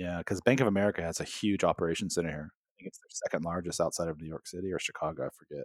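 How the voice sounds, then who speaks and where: With hardly any pauses, a man with a very deep, low pitch speaks at a very fast pace. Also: ordinary pitch variation. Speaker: photographer and agency founder. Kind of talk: casual interview chat.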